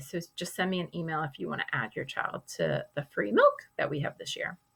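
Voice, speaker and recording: A woman talks at a moderate pace with an American accent. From Boston, US. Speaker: kindergarten teacher. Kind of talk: recorded class presentation for parents. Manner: casual with many fillers.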